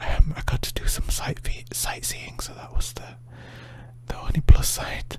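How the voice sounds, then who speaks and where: A man is whispering. Background noise is noticeable. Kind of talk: ASMR sleep story. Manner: soft-spoken, slow.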